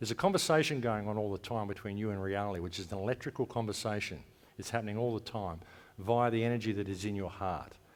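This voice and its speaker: A man talks very fast in a fairly low voice, with ordinary pitch variation. The recording is very clean, with a silent background. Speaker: conference speaker. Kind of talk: conference talk. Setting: stage with audience.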